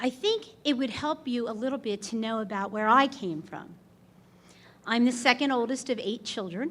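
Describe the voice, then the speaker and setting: A woman talks loudly at a high pitch. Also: ordinary pitch variation, moderate pace. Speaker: award inductee. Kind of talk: acceptance speech.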